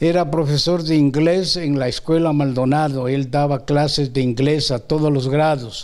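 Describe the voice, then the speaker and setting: At a very slow pace, a man speaks with fairly high pitch and fairly even intonation. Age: 80s+. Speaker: retired primary school teacher. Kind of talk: interview reminiscence. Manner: hesitant with many fillers.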